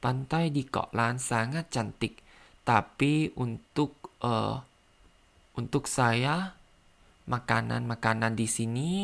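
Speaking very slowly with a Thai accent, a man uses a medium pitch and ordinary pitch variation. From Thailand. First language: Thai (speaking Indonesian). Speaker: language learner podcaster. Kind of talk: language practice monologue; reading aloud. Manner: halting.

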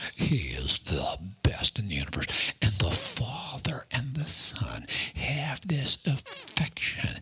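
A man whispers very slowly against noticeable background noise. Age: 60s. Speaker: pastor. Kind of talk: sermon.

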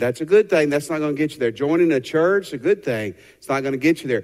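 With a Southern US accent, a man speaks in a fairly high pitch and lively intonation. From Tennessee. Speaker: pastor. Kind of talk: sermon. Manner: animated.

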